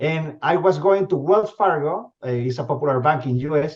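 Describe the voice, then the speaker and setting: Ordinary pitch variation marks the voice of a man speaking with a Spanish accent. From Venezuela. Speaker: company CEO. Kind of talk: interview. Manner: halting, many repetitions and fillers.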